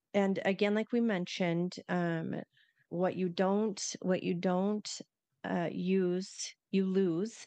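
Against a quiet background, a woman speaks at a very slow pace and medium pitch, her dark, mellow tone held at very even loudness with monotone, flat intonation. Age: 50s. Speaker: podcast co-host. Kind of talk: casual chat.

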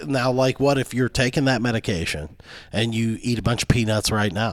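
A man speaks at a medium pitch with an American accent. His is a normal speaking voice, with ordinary pitch variation. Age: 40s. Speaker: podcast co-host. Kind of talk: casual chat.

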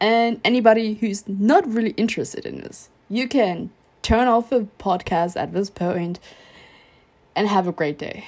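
A woman speaks in a normal speaking voice, fairly high in pitch with ordinary variation. Her loudness swings widely in a very clean recording with a silent background. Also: moderate pace. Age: 20s. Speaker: podcast host. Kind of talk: casual solo monologue.

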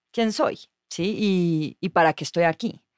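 A woman with a normal speaking voice talks at a fairly slow pace and ordinary pitch variation, the sound dry and close with no echo in a very clean recording with a silent background. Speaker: journalist. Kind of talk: casual chat.

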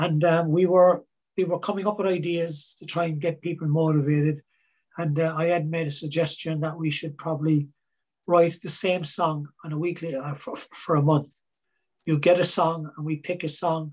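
Speaking at a moderate pace in a Cork accent, a man holds a monotone, flat intonation at a fairly high pitch. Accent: Cork Irish. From Ireland, Cork. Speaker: singer songwriter. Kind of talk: interview.

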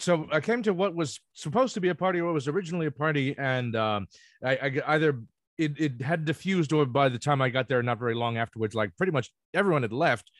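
Very fast speech comes from a man. His fairly high voice has lively intonation. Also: dry, close sound with no echo. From New Jersey (Ocean Township). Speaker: law student. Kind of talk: casual chat.

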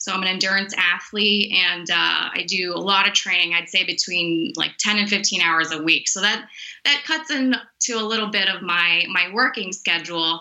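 An American accent at a moderate pace, ordinary pitch variation and hardly any pauses, with noticeable background noise. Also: woman, medium pitch for a woman. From Miami, Florida. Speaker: sports nutritionist. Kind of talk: interview.

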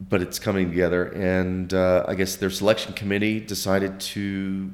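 At a fairly slow pace, a man with an American accent talks in a very deep, low pitch. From Oklahoma. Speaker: painter. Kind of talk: interview. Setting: studio.

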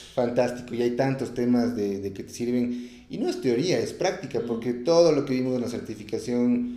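A man at a medium pitch talks while audible room echo fills the space. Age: 30s. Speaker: personal development course graduate, sales worker. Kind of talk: interview.

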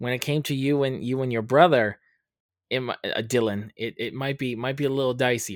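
A man with an American accent and an unremarkable speaking voice, medium pitch and ordinary pitch variation, at a moderate pace on a very clean recording with a silent background. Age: 30s. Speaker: podcast host. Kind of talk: casual chat.

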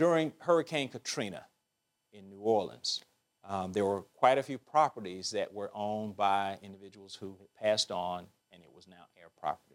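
A man with an Alabama accent, fairly low in pitch, with big swings in loudness. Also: lively intonation, moderate pace. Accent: Southern US (Alabama). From Alabama, US South. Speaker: bank executive and author. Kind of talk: interview.

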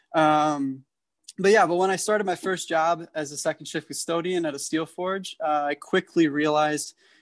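An ordinary speaking voice comes through with an American accent at a moderate pace and fairly even intonation. The sound is dry and close with no echo, against a quiet background. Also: man. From US Midwest, Chicago area. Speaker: political activist, former refugee ministry worker. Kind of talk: interview.

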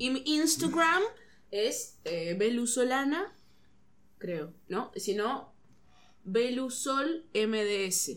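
Very slow and broken by long, frequent pauses, a woman's high voice moves through very wide pitch swings. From Uruguay, Rocha. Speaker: comedian. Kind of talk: casual chat.

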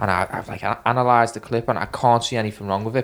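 A man with a Liverpool accent, medium pitch, fairly even intonation and a fairly quick pace. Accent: Liverpool Scouse. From Liverpool, England. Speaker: injured BMX or skate rider. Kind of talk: casual chat. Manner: rambling, storyteller.

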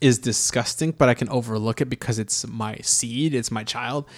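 A man speaks fairly slowly with fairly even intonation. The recording is very clean, with a silent background. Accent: American. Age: 30s. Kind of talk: casual chat over drinks.

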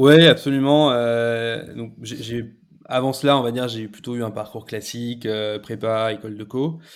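The speech moves at a moderate pace with fairly even intonation. Its loudness swings widely. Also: man, medium pitch for a man. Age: 30s. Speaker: e-commerce partnerships manager. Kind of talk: casual interview. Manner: halting, repeats words.

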